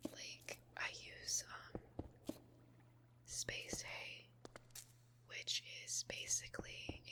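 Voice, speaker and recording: A woman is speaking. She whispers. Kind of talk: ASMR whispered rambling and venting over Minecraft gameplay. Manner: whispered, soft, rambling.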